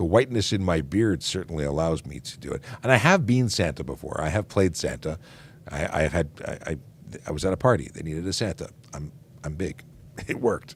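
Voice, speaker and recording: Vocal fry with lively intonation and big swings in loudness. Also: man, very deep, low pitch for a man. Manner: casual, conversational, slightly halting.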